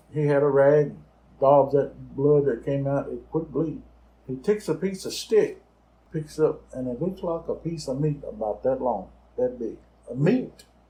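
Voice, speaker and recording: Somewhat breathy and dark, mellow in tone, a man speaks at a fairly high pitch and a moderate pace with ordinary pitch variation. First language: Choctaw. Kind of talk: interview answer, storytelling.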